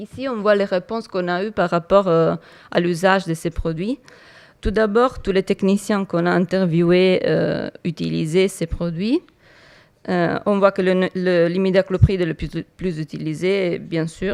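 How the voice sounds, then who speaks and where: In an Italian accent, a woman speaks fairly slowly at medium pitch, the sound dry and close with no echo on a very clean recording against a silent background. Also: fairly even intonation. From Italy. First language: Italian (speaking French). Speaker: entomology researcher. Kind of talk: conference talk. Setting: conference hall with audience. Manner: halting, many hesitations.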